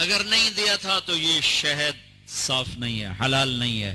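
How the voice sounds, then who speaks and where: The man's voice has a fairly high pitch. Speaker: Islamic preacher. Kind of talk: religious sermon (bayan).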